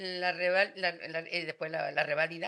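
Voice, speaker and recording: Her voice sits fairly low, and she delivers everything in a monotone with flat intonation. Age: 80s+. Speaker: retired schoolteacher. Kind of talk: casual chat.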